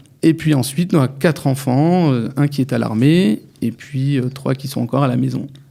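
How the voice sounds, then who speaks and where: This man has a normal speaking voice with a fairly high pitch. He talks at a moderate pace with ordinary pitch variation and hardly any pauses. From France, Metz. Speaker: lawyer. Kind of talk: radio interview. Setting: studio.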